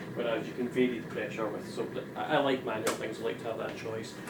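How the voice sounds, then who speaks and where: Mumbled words come at a fairly quick pace through noticeable background noise. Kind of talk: casual talk to camera. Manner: hesitant, mumbling.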